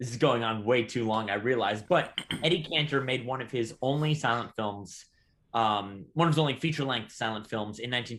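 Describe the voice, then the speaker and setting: A man with an American accent at a very fast pace, medium pitch and ordinary pitch variation. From Southern California. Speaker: podcast co-host, stamp dealer and silent film enthusiast. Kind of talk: casual chat.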